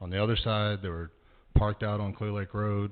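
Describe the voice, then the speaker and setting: A man's fairly low-pitched voice. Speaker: resident speaking at public comment. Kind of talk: public comment at council meeting. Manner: loud.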